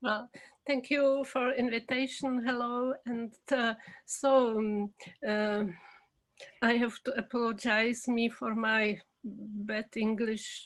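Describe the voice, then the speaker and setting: With a Czech accent, a woman speaks at a very slow pace and a fairly high pitch in a monotone, flat intonation on a very clean recording with a silent background. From Czech Republic. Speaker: documentary filmmaker. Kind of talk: interview. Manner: halting.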